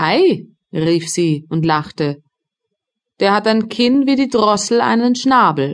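At a very slow pace, a woman speaks at a medium pitch with very wide pitch swings. Her pauses are long and frequent. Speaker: audiobook narrator. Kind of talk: scripted audiobook narration of a fairy tale, dramatic storytelling for children.

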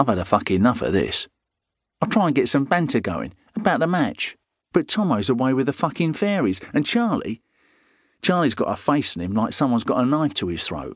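Speaking fairly quickly in a weary tone with vocal fry, a man at a fairly high pitch makes very wide pitch swings over a quiet background. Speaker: audiobook narrator. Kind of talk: dramatic first-person audiobook narration of a gritty crime novel, with dialogue. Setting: studio.

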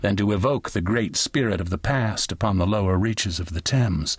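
This man has a fairly low pitch, ordinary pitch variation, and a plain, everyday voice. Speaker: audiobook narrator. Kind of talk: dramatic audiobook narration, reading aloud. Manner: slow, measured, solemn and stately.

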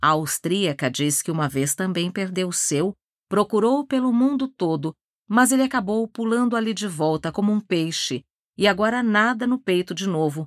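A woman with a Brazilian accent speaks in a dramatic tone at medium pitch, using lively intonation at a moderate pace, on a very clean recording with a silent background. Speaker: audiobook narrator. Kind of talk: audiobook narration of a novel, dramatic. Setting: studio. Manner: dramatic, measured, literary storytelling.

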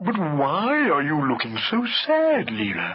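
The speaker puts on a character voice and delivers it at a fairly slow pace. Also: man, high pitch for a man. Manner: mournful, sighing, theatrical self-pity.

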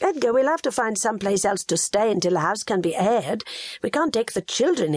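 Lively intonation colors a natural reading voice.

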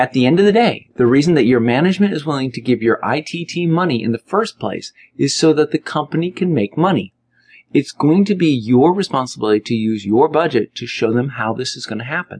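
Against a quiet background, a man with an unremarkable speaking voice talks at a fairly quick pace, his fairly high pitch carrying lively intonation in a dry, close sound with no echo. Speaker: audiobook narrator and author. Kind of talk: audiobook narration, scripted business advice read aloud. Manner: direct, brisk and conversational, with a gently bossy, coaching tone; even, steady pacing, instructional and clear.

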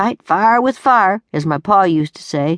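Against a quiet background, a woman with an unremarkable speaking voice talks at a fairly slow pace, the sound dry and close with no echo. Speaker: audiobook narrator. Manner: gruff, weary and rueful, with a slow, dry, homespun drawl.

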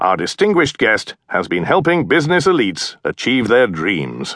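This man's voice swings very widely in pitch and carries vocal fry. The background is quiet. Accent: British. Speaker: audiobook narrator. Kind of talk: audiobook narration, reading aloud.

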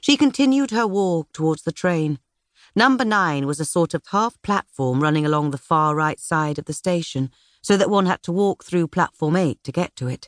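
A woman with a British accent speaks in a dramatic tone at a fairly low pitch, her intonation lively. The sound is dry and close with no echo, over a quiet background. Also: moderate pace. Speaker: audiobook narrator. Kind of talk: audiobook narration. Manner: measured, dramatic, period-drama storytelling with voiced characters.

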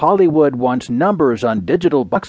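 Speaking at a moderate pace, a man uses a fairly high pitch. His pitch swings very widely. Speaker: newsreader. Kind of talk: formal scripted news reading of newspaper front-page stories. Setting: studio. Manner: measured, even-paced and crisp, with neutral authoritative delivery; formal and precise, clearly enunciating names and headlines.

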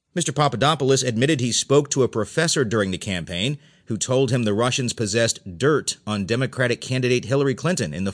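Over a quiet background, a man with a medium pitch talks at a very fast pace. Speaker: audiobook narrator reading newspaper stories. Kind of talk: formal newsreading, audiobook-style. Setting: studio recording. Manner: formal, measured, even-paced newsreader delivery; neutral, impersonal, clearly enunciated.

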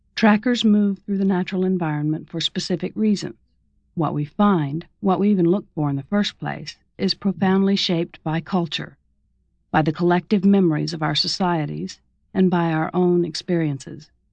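A woman talks at a moderate pace with an American accent and ordinary pitch variation. The background is quiet. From Mississippi, US South. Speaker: memoir author and audiobook narrator. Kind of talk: dramatic audiobook narration of a memoir, reflective and solemn, read aloud.

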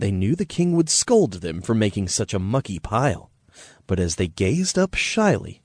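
The recording is an unforced reading voice.

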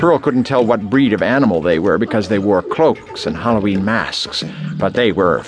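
The intonation is lively throughout this unforced reading voice.

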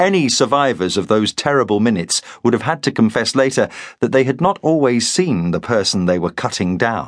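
Over a quiet background, a man with a medium pitch delivers a dramatic tone at a fairly quick pace, his pitch swinging very widely while his loudness stays very even. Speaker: audiobook narrator. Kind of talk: dramatic audiobook narration of a Viking battle scene. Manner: tense, urgent, vividly dramatic.

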